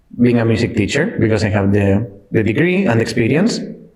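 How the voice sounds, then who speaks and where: A man's medium-pitched voice at a moderate pace, with audible room echo and noticeable background noise. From Spain, Cartagena (southeast). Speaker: IT delivery manager, former music teacher. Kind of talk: podcast interview. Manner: halting.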